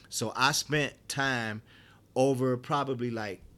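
An unremarkable speaking voice with an American accent keeps a fairly even intonation. The recording is very clean, the background silent. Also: man. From Detroit, US Midwest. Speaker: chef. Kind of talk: interview. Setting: appliance showroom.

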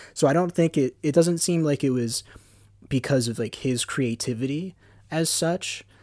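In a dry, close sound with no echo, a man with an American accent talks at a moderate pace in a plain, everyday voice of fairly high pitch. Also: ordinary pitch variation, very clean recording, silent background. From US, Philadelphia area. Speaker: film podcast panelist. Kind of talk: casual film discussion.

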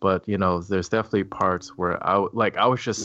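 This man's pitch is very deep and low. His intonation stays flat and monotone. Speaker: podcast co-host. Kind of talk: casual chat. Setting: video call.

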